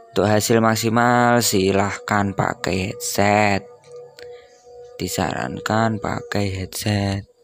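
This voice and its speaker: With faint music in the background, a man speaks very slowly at a fairly low pitch with fairly even intonation, in a dry sound with no echo. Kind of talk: tutorial. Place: home room.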